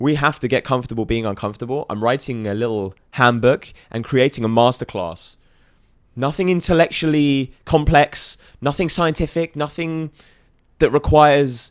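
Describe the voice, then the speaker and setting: Someone with a British accent talks at a moderate pace with ordinary pitch variation in a very clean recording with a silent background. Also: man. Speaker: podcast guest, motivational entrepreneur. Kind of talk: casual podcast interview.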